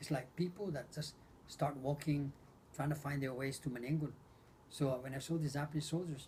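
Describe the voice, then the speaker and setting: Somewhat breathy, a man's fairly high voice moves with ordinary pitch variation. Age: 70s. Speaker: war survivor interviewed by grandson. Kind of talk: oral history interview. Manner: halting, repeats words.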